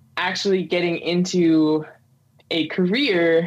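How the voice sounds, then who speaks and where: At a fairly slow pace, a woman delivers her words. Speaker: podcast guest. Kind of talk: interview answer. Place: home room.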